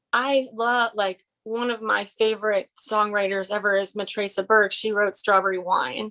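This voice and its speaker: A woman speaks at a moderate pace and medium pitch, with hardly any pauses. Her tone is bright and sharp. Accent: American. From US, Maryland. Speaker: singer-songwriter. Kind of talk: interview. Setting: video call. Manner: animated.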